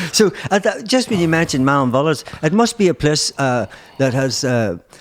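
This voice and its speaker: Speaking with a Mid Ulster accent at a moderate pace, a man with a fairly high pitch swings very widely in pitch yet keeps very even loudness. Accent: Northern Irish (Mid-Ulster). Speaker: podcast host. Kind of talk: casual interview. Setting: podcast.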